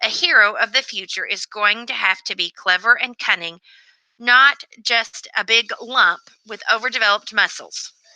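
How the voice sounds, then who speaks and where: A woman's put-on character voice, raspy and wheezy, with ordinary pitch variation. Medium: read story. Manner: rambling, grandly philosophical.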